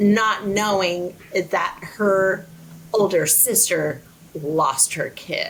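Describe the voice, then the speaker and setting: At a very slow pace, a woman speaks with an American accent, her medium pitch showing ordinary variation. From Southern California. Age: 50s. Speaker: guest. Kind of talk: casual chat.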